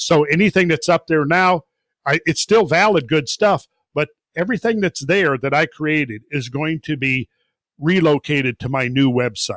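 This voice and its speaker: At a moderate pace, an unremarkable speaking voice talks with an American accent. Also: man, fairly high pitch for a man, ordinary pitch variation, dry, close sound with no echo. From rural Minnesota, US Upper Midwest. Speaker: independent researcher and geological explorer. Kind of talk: podcast interview.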